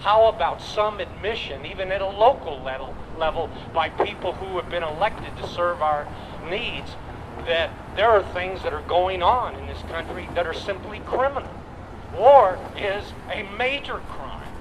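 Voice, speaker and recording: A man with an American accent speaks at a high pitch with ordinary pitch variation and big swings in loudness. Noticeable background noise and audible room echo surround him. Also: moderate pace. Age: 70s. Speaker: Vietnam war veteran, activist speaker. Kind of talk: rally speech. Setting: outdoor rally in front of city hall. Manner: impassioned.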